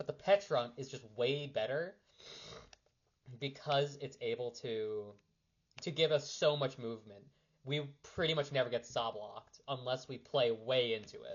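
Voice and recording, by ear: This put-on character voice is hoarse, moving at a moderate pace with ordinary pitch variation. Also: man, medium pitch for a man.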